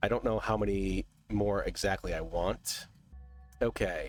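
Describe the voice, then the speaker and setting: Behind the voice, music plays. A man talks at a fairly slow pace. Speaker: gaming video host. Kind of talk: casual let's-play commentary.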